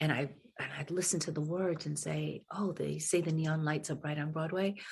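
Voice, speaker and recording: A woman speaks at a very deep, low pitch, somewhat breathy. Her intonation is flat and monotone. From New England, US (Fall River, Massachusetts). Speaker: singer and musical theatre actress. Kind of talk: interview.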